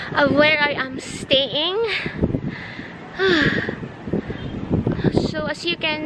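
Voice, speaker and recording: A woman at a very slow pace with ordinary pitch variation, amid loud background noise. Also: dry sound with no echo. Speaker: vlogger. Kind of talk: casual vlog chat. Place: open country. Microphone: phone near.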